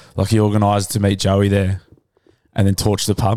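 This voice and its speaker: Very fast male speech with an Australian accent. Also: very clean recording, silent background. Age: 30s. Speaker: podcast host. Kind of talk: casual chat. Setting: studio.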